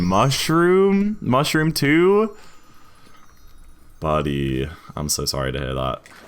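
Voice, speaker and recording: With audible room echo and noticeable background noise around him, the man talks. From northern England, Newcastle. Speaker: video game speedrun streamer. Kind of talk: casual live stream chat. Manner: hesitant, filler-heavy.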